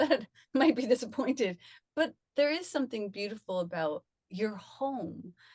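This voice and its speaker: At a moderate pace, a woman speaks with a fairly high pitch and very wide pitch swings. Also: dry, close sound with no echo. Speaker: spiritual speaker and former actor. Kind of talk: conversational spiritual talk. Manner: soft-spoken.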